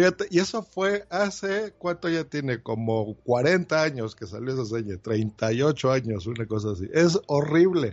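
A man's medium-pitched voice at a fairly slow pace, with very wide pitch swings and hardly any pauses. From Mexico. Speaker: listener call-in. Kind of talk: casual chat.

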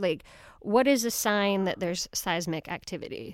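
Over a silent background on a very clean recording, a woman speaks in a normal speaking voice, the sound dry and close with no echo. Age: 40s. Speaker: radio host. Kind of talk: radio interview.

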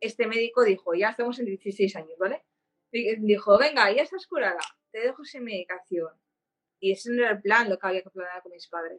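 At a fairly quick pace, a woman talks in an unremarkable speaking voice, fairly high in pitch with ordinary pitch variation and big swings in loudness. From Spain, Barcelona. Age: 30s. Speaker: patient advocate with epilepsy. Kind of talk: interview.

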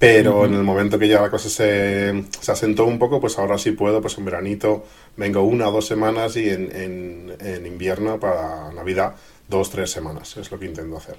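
A man speaks in a plain, everyday voice, fairly low in pitch. His intonation stays fairly even. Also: fairly quick pace. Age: 30s. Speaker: tech blogger and youtuber. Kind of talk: interview.

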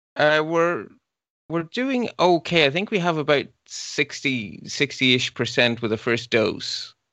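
A man's fairly high voice with a bright, sharp tone and lively intonation, at a fairly slow pace, dry and close with no echo, over a quiet background. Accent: Irish. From Ireland. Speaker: podcast co-host. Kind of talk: casual chat.

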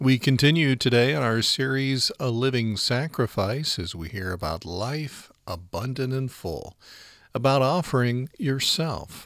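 Heard in a very clean recording with a silent background, a man with an unremarkable speaking voice speaks at a medium pitch and a fairly slow pace. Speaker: podcast host. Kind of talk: scripted narration.

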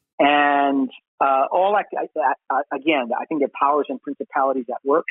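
With an American accent, a man speaks at a moderate pace in an unremarkable speaking voice, fairly high in pitch with ordinary pitch variation. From Brooklyn, New York. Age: 40s. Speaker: pastor. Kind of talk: casual chat.

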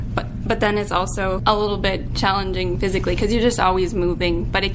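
Music plays in the background as the speaker delivers words at a fairly quick pace. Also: woman. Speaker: college student custodian. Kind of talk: casual interview clips.

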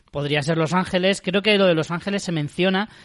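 A man's plain, everyday voice at a fairly quick pace, with a quiet background. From Spain. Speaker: podcast host. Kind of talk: casual chat.

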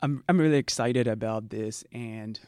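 A man with a Zimbabwean accent is heard in a very clean recording with a silent background. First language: Shona. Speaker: writer and panelist. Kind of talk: interview.

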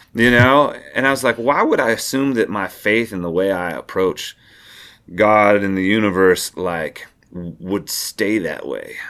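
Here a man uses a normal speaking voice with a fairly low pitch and ordinary pitch variation. He goes at a fairly slow pace on a very clean recording with a silent background. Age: 30s. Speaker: singer-songwriter. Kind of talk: casual interview conversation.

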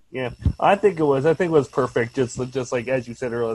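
Noticeable background noise is present throughout. Over it, a man speaks at a very fast pace. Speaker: caller. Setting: video call.

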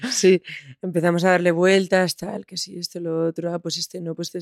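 A woman's fairly low-pitched voice at a moderate pace, in a dry, close sound with no echo. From Spain, Almansa (Albacete). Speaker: musician. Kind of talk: interview.

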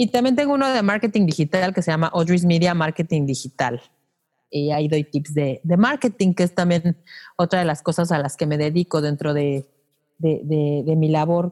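A woman at a moderate pace with lively intonation, a normal speaking voice, very even loudness, and a dry, close sound with no echo in a very clean recording against a silent background. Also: fairly low pitch for a woman. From Mexico City. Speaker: podcast teacher and broadcaster. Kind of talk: interview.

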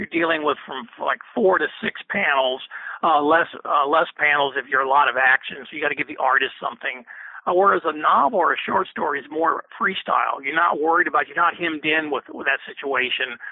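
A man speaks at a fairly quick pace in a normal speaking voice. His pitch is fairly high, with ordinary variation. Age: 50s. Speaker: author. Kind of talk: interview.

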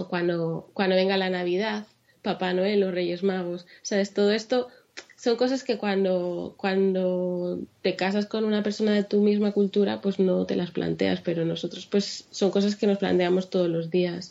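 Fairly slow and fairly even in intonation, the speech moves along. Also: woman, medium pitch for a woman. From Spain, Madrid. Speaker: blogger and mother. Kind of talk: interview.

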